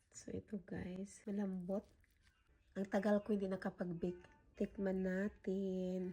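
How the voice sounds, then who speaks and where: Her tone dark and mellow, a woman of medium pitch speaks fairly slowly in a somewhat breathy, monotone voice with flat intonation. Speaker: food and pet vlogger. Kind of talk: casual vlog.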